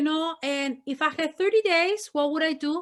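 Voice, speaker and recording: An animated tone comes through at a moderate pace. Behind it, the background is silent on a very clean recording. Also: woman. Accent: Spanish. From northern Mexico, Monterrey. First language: Spanish. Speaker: missionary. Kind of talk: testimony. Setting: ministry meeting talk. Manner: repetitive fillers, animated.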